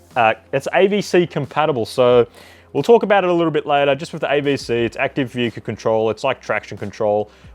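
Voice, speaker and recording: An enthusiastic man with an Australian accent at a very fast pace, lively intonation over a quiet background. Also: fairly high pitch for a man. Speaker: RC hobby YouTuber. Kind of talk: product unboxing review. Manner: enthusiastic, casual.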